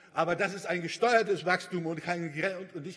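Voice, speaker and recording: This man's voice sits at a high pitch with ordinary pitch variation. He talks at a moderate pace. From Brandenburg, Germany (Bernau); Brandenburg. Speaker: politician, parliamentary group leader. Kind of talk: parliamentary speech. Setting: parliament chamber. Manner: halting, with repetitions and fillers. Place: hall. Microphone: podium.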